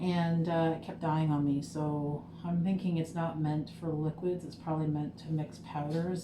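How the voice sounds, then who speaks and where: A woman talks with a very deep, low pitch and fairly even intonation. Noticeable background noise and audible room echo fill the recording. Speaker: small business owner making lip gloss. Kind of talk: casual vlog tutorial. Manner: casual with fillers. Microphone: muffled by mask.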